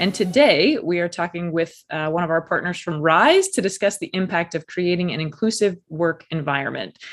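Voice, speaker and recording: Over music in the background, a woman speaks at a fairly low pitch with hardly any pauses. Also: ordinary pitch variation, moderate pace. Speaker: podcast host. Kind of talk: interview.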